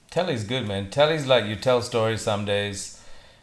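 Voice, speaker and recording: A man's fairly low voice at a fairly slow pace, with audible room echo. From Singapore. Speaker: director and entrepreneur. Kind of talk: casual chat.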